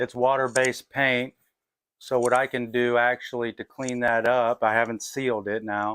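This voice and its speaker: Soft-spoken and at a moderate pace, the voice keeps a monotone, flat intonation in a dry, close sound with no echo. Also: man, medium pitch for a man. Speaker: custom helmet painter. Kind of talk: tutorial. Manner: halting.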